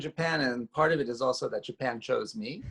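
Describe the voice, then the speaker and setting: A man with a New York accent, captured with a dry, close sound and no echo. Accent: New York American. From US, New York City. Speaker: designer and researcher. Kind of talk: interview conversation. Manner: halting, many fillers.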